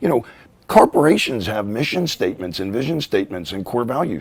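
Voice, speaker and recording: With an American accent, a man speaks with vocal fry and very wide pitch swings. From Pittsburgh, US. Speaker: author. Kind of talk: interview. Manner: animated.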